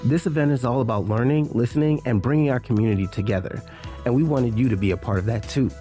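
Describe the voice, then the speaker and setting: Music plays in the background as a man talks at a medium pitch. His intonation is lively and his pace fairly quick. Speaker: podcast host. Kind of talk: podcast intro.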